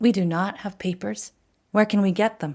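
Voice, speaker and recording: A put-on character voice that sounds female, pitched in the middle range for a woman, moves at a moderate pace. The recording is very clean, with a silent background. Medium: read story.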